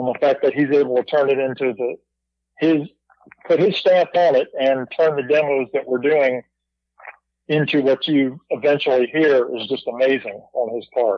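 A man with a plain, everyday voice speaks at a moderate pace and a fairly high pitch, with fairly even intonation. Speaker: musician. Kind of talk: casual chat.

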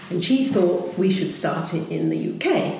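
A woman talks at a moderate pace and medium pitch. Noticeable background noise runs underneath. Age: 70s. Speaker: company president. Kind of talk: interview conversation.

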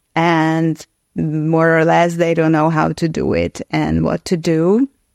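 Speaking with a Hungarian accent, a woman uses a fairly low pitch at a very slow pace. The very clean recording has a silent background and a dry, close sound with no echo. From Hungary. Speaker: actress and author. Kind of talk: casual interview.

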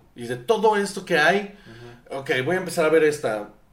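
A man's high-pitched voice with lively intonation and a fairly quick pace, plus audible room echo. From northern Mexico (Sonora). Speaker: film school graduate, filmmaker. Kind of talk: casual chat.

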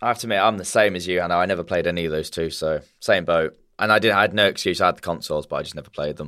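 With a British accent, a man speaks at a very fast pace with hardly any pauses, his very deep, low voice bright and sharp in tone. The recording is very clean, the background silent. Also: ordinary pitch variation. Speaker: podcast host. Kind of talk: casual chat.

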